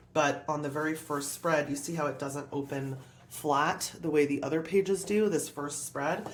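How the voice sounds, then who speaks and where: A woman with a very deep, low pitch speaks with ordinary pitch variation. Audible room echo and noticeable background noise fill the recording. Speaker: art YouTuber. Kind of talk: tutorial. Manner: animated; fast.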